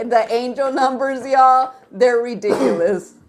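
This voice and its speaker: The woman talks fairly slowly, and noticeable noise can be heard behind her. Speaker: tarot reading show co-host. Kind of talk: casual chat. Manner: loud.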